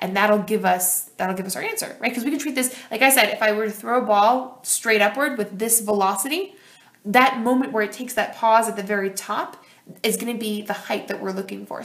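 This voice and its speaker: A woman talks at a very fast pace in an animated tone, with big swings in loudness. Her pitch is fairly high, with ordinary pitch variation. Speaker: high school physics teacher. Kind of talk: tutorial.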